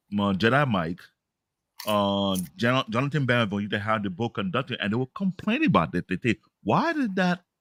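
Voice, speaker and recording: On a very clean recording with a silent background, a man speaks at a fairly quick pace in an African accent. The sound is dry and close with no echo, and his intonation is lively. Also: medium pitch for a man. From Africa, immigrated to US as child. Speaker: podcast host. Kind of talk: casual chat.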